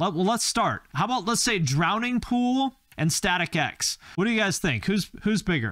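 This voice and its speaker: Against a quiet background, a man speaks at a moderate pace with a bright, sharp tone, very wide pitch swings and a dry sound with no echo. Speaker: streamer. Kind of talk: casual stream commentary. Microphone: studio mic.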